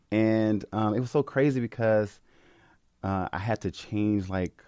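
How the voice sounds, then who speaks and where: Over a very clean recording with a silent background, a man with a dark, mellow tone speaks at a fairly slow pace, dry and close with no echo. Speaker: podcast host. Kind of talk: casual chat. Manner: bright, upbeat.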